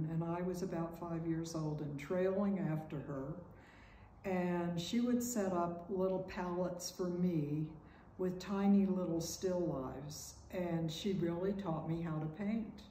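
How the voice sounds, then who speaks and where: A woman with a fairly low voice speaks at a fairly slow pace and fairly even intonation, with audible room echo and light background noise. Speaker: painter. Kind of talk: interview. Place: home room. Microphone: camera far.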